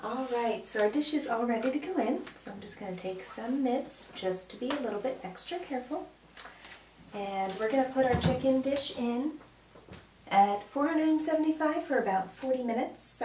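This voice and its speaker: Noticeable background noise sits under a woman's high-pitched voice, which moves at a moderate pace with big swings in loudness. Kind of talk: tutorial. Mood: cheerful, relaxed. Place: kitchen. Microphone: camera far.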